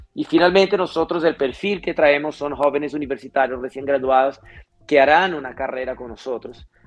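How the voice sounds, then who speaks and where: A fairly high-pitched man at a fairly quick pace, ordinary pitch variation and big swings in loudness, with music in the background. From Brazil. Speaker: fintech executive. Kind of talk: interview.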